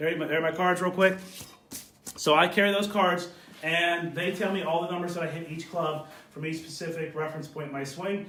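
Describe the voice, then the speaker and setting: At a moderate pace, a man with a high pitch speaks amid audible room echo and noticeable background noise. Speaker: golf instructor. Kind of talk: live video Q&A tutorial. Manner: casual, with fillers.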